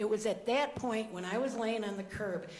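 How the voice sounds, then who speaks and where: Noticeable background noise fills the clip. A woman speaks with ordinary pitch variation. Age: 60s. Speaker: protest arrestee. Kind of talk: public comment at city council meeting. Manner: hesitant, hurried.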